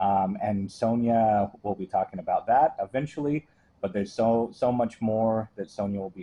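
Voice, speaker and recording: With an ordinary speaking voice, a man speaks at a moderate pace in a fairly low pitch with ordinary pitch variation. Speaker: historical society director, interviewer. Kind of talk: oral history interview questions.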